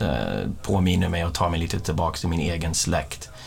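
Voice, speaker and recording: A man with an English accent and a very deep, low pitch speaks over music in the background, with audible room echo. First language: English (speaking Swedish). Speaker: company executive. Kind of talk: casual interview. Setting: studio. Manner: halting.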